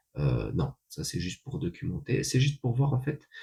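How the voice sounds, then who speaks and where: A man's voice with vocal fry and very wide pitch swings at a moderate pace. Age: 30s. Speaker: vlogger. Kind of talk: casual monologue. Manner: hesitant, many fillers.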